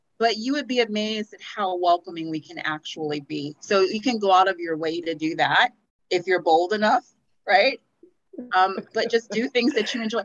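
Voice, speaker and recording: With an American accent, a woman at medium pitch has an ordinary speaking voice and lively intonation. She speaks at a moderate pace in a dry, close sound with no echo. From Houston, Texas. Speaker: anti-racism organization founder. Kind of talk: casual interview conversation.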